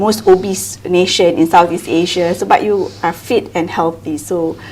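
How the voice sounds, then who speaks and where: Moderately paced speech from a woman, fairly low in pitch, amid noticeable background noise. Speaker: podcast host. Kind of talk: interview question.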